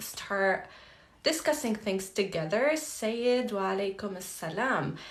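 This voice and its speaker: A woman speaks with audible echo from the room. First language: Arabic. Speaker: language teacher, polyglot content creator. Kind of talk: live Q&A tutorial. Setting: livestream. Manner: casual, many fillers.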